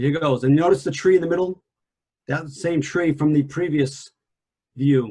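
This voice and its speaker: Pausing long and often, a man with a fairly high, somewhat breathy voice and a dark, mellow tone speaks. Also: ordinary pitch variation, moderate pace. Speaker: environmental analyst presenter. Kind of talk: lecture. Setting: video call. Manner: soft-spoken.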